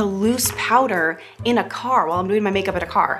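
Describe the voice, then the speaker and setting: A woman talks at a moderate pace, with clear music playing in the background. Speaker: news anchor doing a makeup tutorial. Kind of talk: tutorial. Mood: playful, joking. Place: home room.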